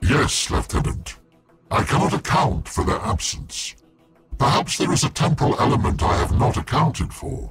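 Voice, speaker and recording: A man in a put-on character voice speaks at a medium pitch and moderate pace with very wide pitch swings. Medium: video game. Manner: detached, measured.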